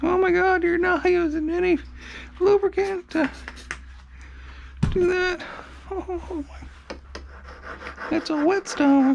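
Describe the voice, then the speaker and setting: A man with an extremely high pitch, fairly even intonation and a very slow pace, with long, frequent pauses and noticeable background noise. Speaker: motorcycle mechanic youtuber. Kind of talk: workshop tutorial.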